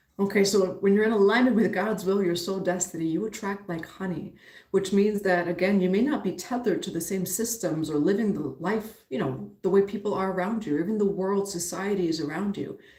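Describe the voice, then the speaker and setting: A woman with an American accent talks at a fairly quick pace with hardly any pauses, her medium pitch showing ordinary variation. Her somewhat breathy voice has a dark, mellow tone, and audible room echo surrounds it. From New York, the Bronx. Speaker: spiritual teacher and tarot reader. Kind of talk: live-stream reading and spiritual teaching.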